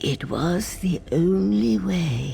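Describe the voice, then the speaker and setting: A put-on character voice at a low-to-middle pitch plays over clear background noise. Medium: video game.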